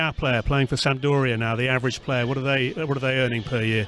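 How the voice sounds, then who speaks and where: A man with an English accent talks at a very fast pace and a medium pitch. Music plays in the background. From England. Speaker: podcast host. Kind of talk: casual interview.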